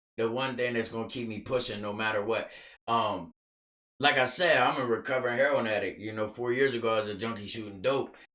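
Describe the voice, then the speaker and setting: A loud man with a medium pitch and a bright, sharp tone, at a very fast pace. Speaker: podcast guest, recovering addict. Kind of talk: casual chat. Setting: studio. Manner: animated.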